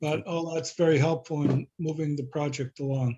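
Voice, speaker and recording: A man talks at a moderate pace with fairly high pitch and monotone, flat intonation, the sound dry and close with no echo. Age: 70s. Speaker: variance applicant. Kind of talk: public meeting. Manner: halting.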